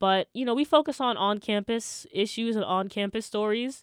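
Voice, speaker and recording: A woman talks in a plain, everyday voice at a medium pitch. Her pace is moderate and her pitch variation ordinary. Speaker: college radio host. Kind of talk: casual chat.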